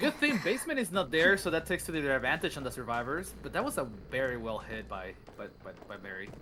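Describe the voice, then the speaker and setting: The speaker goes at a fairly quick pace against noticeable background noise. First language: Spanish. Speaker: co-commentator. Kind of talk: live commentary.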